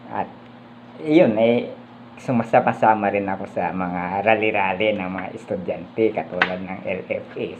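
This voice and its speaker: A man speaks at a fairly slow pace in a fairly low voice with ordinary pitch variation, over noticeable background noise. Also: big swings in loudness. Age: 70s. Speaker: vlogger, political commentator. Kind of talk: casual vlog commentary. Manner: halting, many fillers.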